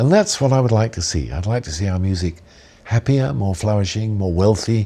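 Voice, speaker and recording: A man with a southern English accent speaks with lively intonation and a fairly low pitch. His tone is dark and mellow, and somewhat breathy. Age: 70s. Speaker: jazz musician. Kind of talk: interview. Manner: reflective, with frequent 'um' fillers.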